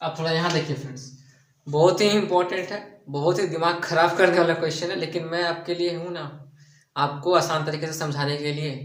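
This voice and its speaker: Audible room echo surrounds a man speaking at a moderate pace in a high pitch, with monotone, flat intonation. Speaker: math teacher. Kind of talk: tutorial. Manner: softer than usual, restrained.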